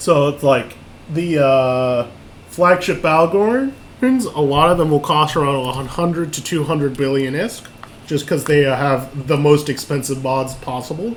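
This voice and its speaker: A man's fairly high voice at a fairly slow pace with ordinary pitch variation, amid audible room echo and noticeable background noise. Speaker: online game class instructor. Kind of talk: lecture. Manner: halting, many fillers and repeats.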